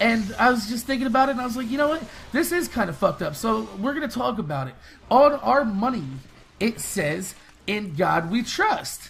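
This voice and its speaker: A man with an American accent speaks in an extremely high pitch with very wide pitch swings and an animated tone. Background noise is noticeable. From United States. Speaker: gaming youtuber. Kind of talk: casual rant to camera. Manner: fast.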